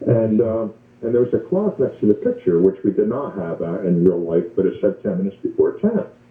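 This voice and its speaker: At a fairly quick pace, a man talks over noticeable background noise. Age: 60s. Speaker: caller. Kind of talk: testimony. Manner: halting, many fillers.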